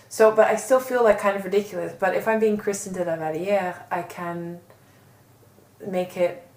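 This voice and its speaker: Noticeable background noise runs under a voice in an American accent. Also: woman, medium pitch for a woman, moderate pace. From New York, US. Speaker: online magazine founder and art director. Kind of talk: interview. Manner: loud; animated.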